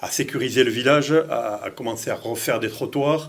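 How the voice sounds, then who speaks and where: His pitch moves up and down in an ordinary way. The man's voice is at a medium pitch. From France, Lyon. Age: 60s. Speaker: mayor running for re-election. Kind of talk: interview. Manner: halting, many repetitions and hesitations.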